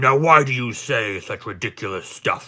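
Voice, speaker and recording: Using a gruff, growling put-on character voice, a man speaks at a medium pitch and a moderate pace. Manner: indignant.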